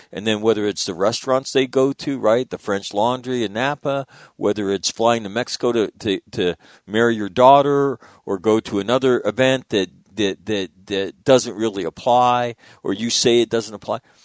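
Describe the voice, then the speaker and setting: Against a quiet background, a man with an American accent uses a plain, everyday voice at medium pitch, speaking at a moderate pace with fairly even intonation in a dry, close sound with no echo. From US West (northern California, Sacramento). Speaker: radio host. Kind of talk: casual chat.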